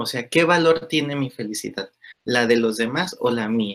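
The man's pitch is medium. He talks at a fairly slow pace. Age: 20s. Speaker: primary school teacher. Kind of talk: interview conversation. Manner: halting, many fillers.

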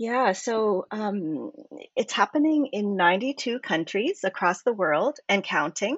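This woman has an ordinary speaking voice at medium pitch, in a Canadian accent. She talks at a fairly slow pace with lively intonation. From Canada. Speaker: novelist and activist. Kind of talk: interview.

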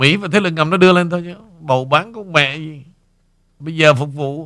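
In a very clean recording with a silent background, a man speaks with fairly even intonation in a bright, sharp tone. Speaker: radio host. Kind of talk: casual chat.

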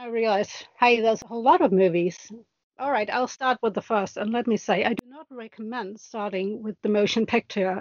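A woman with a normal speaking voice talks at a fairly quick pace at a fairly high pitch. Her pitch varies in an ordinary way, while her loudness swings widely. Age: 40s. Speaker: podcast guest, fan. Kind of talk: casual chat.

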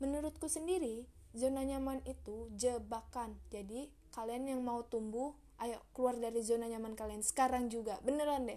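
A woman at a moderate pace, fairly high pitch and fairly even intonation. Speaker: solo podcaster. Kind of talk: motivational monologue. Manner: casual, chatty; emotive, expressive.

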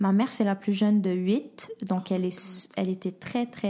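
A woman talks at a fairly slow pace in a medium pitch. Her voice is somewhat breathy, with fairly even intonation. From Montreal, with teens in Paris and Ottawa. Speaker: project manager in social gastronomy. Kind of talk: casual chat.

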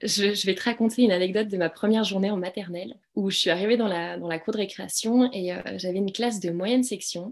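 At a very fast pace, a woman talks in a medium pitch with fairly even intonation. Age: 30s. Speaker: primary school teacher and podcast co-founder. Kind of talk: casual interview. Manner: hesitant, many fillers.

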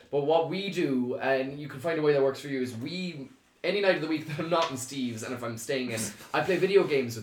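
Talking at a very fast pace in an Irish accent, a man uses a fairly high pitch with big swings in loudness. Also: ordinary pitch variation. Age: 20s. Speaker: video content creator. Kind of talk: casual chat.

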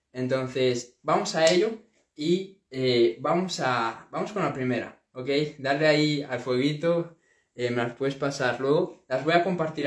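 Pitched fairly high, a man speaks at a fairly slow pace with ordinary pitch variation. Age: young. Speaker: entrepreneur YouTuber. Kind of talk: casual vlog monologue. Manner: animated.

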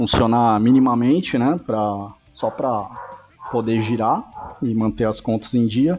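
Noticeable background noise sits behind a man of medium pitch speaking at a fairly slow pace. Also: ordinary pitch variation. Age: 30s. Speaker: rock band guitarist. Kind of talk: casual interview chat.

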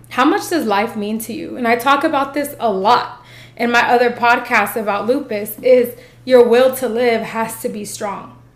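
An animated, high-pitched woman at a moderate pace, with ordinary pitch variation and noticeable background noise. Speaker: podcast host. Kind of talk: motivational monologue. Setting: filming video.

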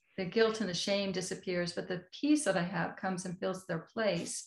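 This woman has an American accent and a medium pitch. Her voice is somewhat breathy, with fairly even intonation. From United States. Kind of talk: interview.

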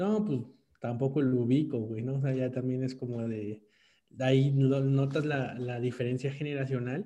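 With a dark, mellow tone, a man talks at medium pitch and a moderate pace, using ordinary pitch variation. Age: 20s. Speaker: podcast co-host. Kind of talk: casual chat.

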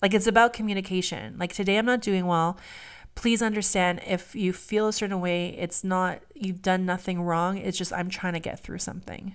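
A woman with an unremarkable speaking voice talks at a moderate pace and medium pitch, her intonation fairly even, on a very clean recording with a silent background. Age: 40s. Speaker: podcast co-host. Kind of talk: casual chat.

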